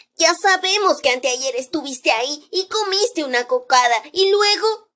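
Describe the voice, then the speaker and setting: At a moderate pace, a woman in a put-on character voice speaks at an extremely high pitch, swinging very widely in pitch while her loudness stays very even. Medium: read story.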